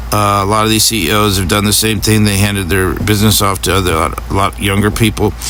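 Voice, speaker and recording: A man with an American accent talks at a very fast pace, hardly pausing, at a fairly low pitch with fairly even intonation and very even loudness, amid noticeable background noise and audible room echo. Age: 60s. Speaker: political commentator. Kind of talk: video monologue. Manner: halting, many fillers; angry.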